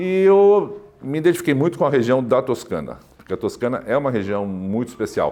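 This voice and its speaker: Talking fairly quickly, a man lets his pitch swing very widely. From Brazil, raised partly in Switzerland. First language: French (speaking Portuguese). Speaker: chef. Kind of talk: interview monologue. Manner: halting, many fillers.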